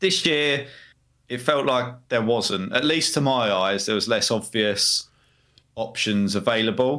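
A man with a medium pitch and ordinary pitch variation speaks in a plain, everyday voice. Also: fairly slow pace. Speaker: co-host. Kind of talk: casual banter podcast chat.

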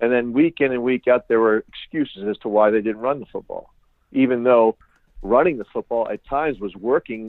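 A man speaks in a plain, everyday voice at a medium pitch with ordinary pitch variation. His pace is fairly quick, with big swings in loudness. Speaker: sports website creator. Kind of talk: interview. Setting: phone call.

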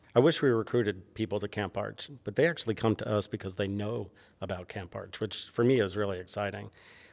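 In an American accent, a man talks at a very fast pace with vocal fry, a fairly low pitch and ordinary pitch variation. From New York (Bronx). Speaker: architecture professor and department head. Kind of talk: interview.

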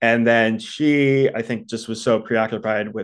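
A man with an American accent speaks at medium pitch with fairly even intonation. It is a plain, everyday voice against a quiet background. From US East Coast, Baltimore. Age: 30s. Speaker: podcast listener sharing breakup story. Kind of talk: casual interview.

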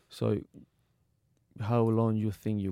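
The voice carries an Argentine accent and a dark, mellow tone at a moderate pace. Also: man. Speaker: retired footballer, academy founder. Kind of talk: casual interview. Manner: halting.

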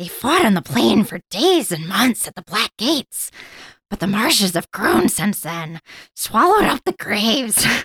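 Natural reading over a quiet background.

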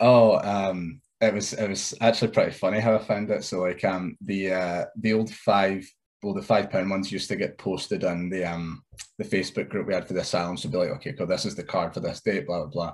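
The speaker has an ordinary speaking voice. The pace is fairly quick, with fairly even intonation. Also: man, fairly low pitch for a man. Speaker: wrestler. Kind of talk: casual interview chat.

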